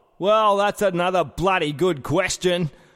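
A man speaks at a high pitch with a strong Australian accent and a fairly slow pace. The recording is very clean, with a silent background. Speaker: comedy sports commentator. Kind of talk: casual comedic chat.

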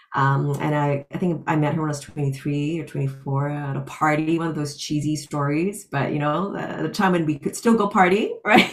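A woman speaks at a moderate pace with a very deep, low pitch and ordinary pitch variation. She hardly pauses, and there is noticeable background noise. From Singapore. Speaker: professor and author. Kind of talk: personal testimony.

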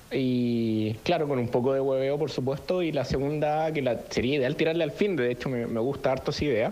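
A man talks at a moderate pace with ordinary pitch variation, his voice carrying audible room echo. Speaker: podcast co-host. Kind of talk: casual chat.

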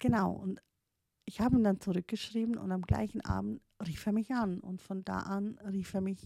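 A woman with a non-native accent speaks at a medium pitch, her somewhat breathy voice dark and mellow in tone, the sound dry and close with no echo. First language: not German (speaking German). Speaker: podcaster, life coach in training. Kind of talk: personal monologue. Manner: halting, many fillers and restarts.

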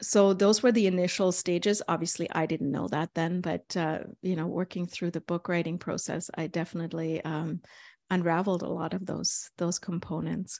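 A woman with a German accent speaks at a moderate pace, her pitch fairly low and her intonation fairly even. The sound is dry and close with no echo, over a quiet background. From East Germany. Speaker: author and consultant. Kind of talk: interview conversation. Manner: reflective, hesitant with fillers.

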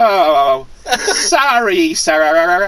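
Middle pitch in a put-on character voice. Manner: apologetic, servile.

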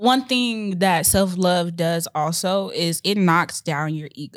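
A woman with an American accent has an unremarkable speaking voice at medium pitch, with ordinary pitch variation. She talks fairly slowly with hardly any pauses, in a very clean recording with a silent background. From Chicago, Illinois. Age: 20s. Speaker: podcast co-host, hair business owner. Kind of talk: casual chat. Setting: podcast recording.

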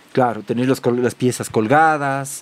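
A man with a Cuenca Ecuadorian accent. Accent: Cuenca Ecuadorian Spanish, retained. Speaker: farmer and butcher. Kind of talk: casual interview. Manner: halting, with repeated words.

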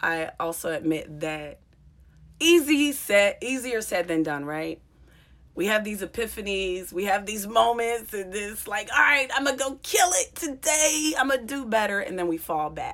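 In a fairly high voice, a woman talks at a fairly slow pace with very wide pitch swings. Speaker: comedian and podcast host. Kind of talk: casual monologue. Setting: solo podcast recording. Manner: reflective.

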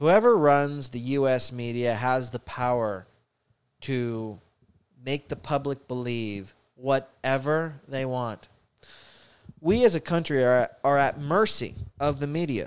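A man talks at a very slow pace with long, frequent pauses and ordinary pitch variation. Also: medium pitch for a man. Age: 20s. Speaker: podcast host. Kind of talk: casual monologue. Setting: home studio. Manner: halting, many fillers and repeats. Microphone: new studio, wearing headphones.

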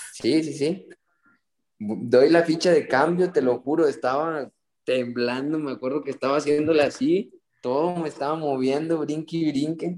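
An unremarkable speaking voice from a man, fairly high in pitch with ordinary pitch variation, at a fairly slow pace. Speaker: youth footballer. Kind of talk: casual chat.

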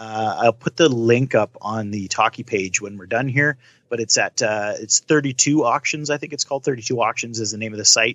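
A man uses an ordinary speaking voice at medium pitch with ordinary pitch variation and big swings in loudness. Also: moderate pace, hardly any pauses. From Canada. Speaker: podcast co-host. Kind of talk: casual chat.

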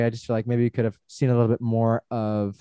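Recorded very cleanly over a silent background with a dry, close sound and no echo, a man speaks very fast at a medium pitch. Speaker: podcast co-host. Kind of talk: casual chat.

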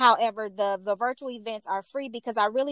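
A woman with an American accent speaks at a fairly high pitch with fairly even intonation, a normal speaking voice. The sound is dry and close, without echo. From Chicago, West Side. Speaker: makeup artist and networking group founder. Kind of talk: casual interview chat.

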